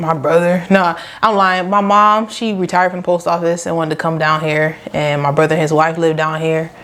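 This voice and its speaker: A woman's fairly low-pitched voice at a fairly quick pace, with hardly any pauses, fairly even intonation and noticeable background noise. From Rochester, upstate New York. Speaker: small business owner, lash artist. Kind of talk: casual podcast interview.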